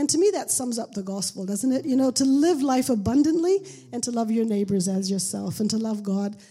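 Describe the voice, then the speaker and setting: A woman's fairly high, somewhat breathy voice with lively intonation in a very clean recording with a silent background. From Pakistan (missionary boarding school). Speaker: missionary. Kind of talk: testimony.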